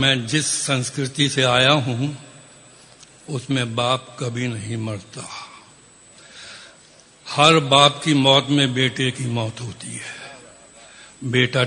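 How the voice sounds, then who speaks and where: Flat, monotone intonation from a man, with noticeable background noise behind. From India. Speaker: poet. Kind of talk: poet explaining his poem.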